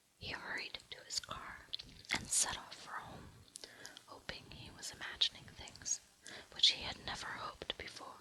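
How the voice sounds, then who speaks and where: Someone is whispering at a moderate pace. The background noise is noticeable. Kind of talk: whispered audiobook-style reading of a novel; ASMR relaxation reading. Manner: whispered, soft.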